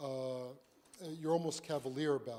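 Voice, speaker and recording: The speaker moves at a moderate pace with fairly even intonation. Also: man. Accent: New York. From New York. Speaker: physician speaking on apheresis and transfusion medicine. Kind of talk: conference lecture.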